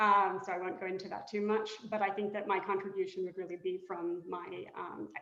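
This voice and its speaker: In a room with audible echo and noticeable background noise, a woman speaks fairly quickly at a medium pitch with ordinary pitch variation. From Britain. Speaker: board candidate, law professor. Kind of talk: candidate introduction in a webinar. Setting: webinar.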